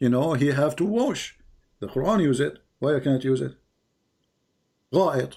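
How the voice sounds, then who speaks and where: A man talks at a moderate pace in a fairly high pitch, his dark, mellow tone carrying vocal fry, with very even loudness, ordinary pitch variation, and long, frequent pauses. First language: not English. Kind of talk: heated debate. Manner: animated.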